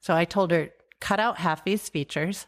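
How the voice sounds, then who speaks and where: On a very clean recording with a silent background, a woman with an American accent speaks at a moderate pace in a fairly low pitch with ordinary pitch variation. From US Midwest, South Dakota (rural, near Salem). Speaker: entrepreneur and app developer. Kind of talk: interview. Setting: home kitchen.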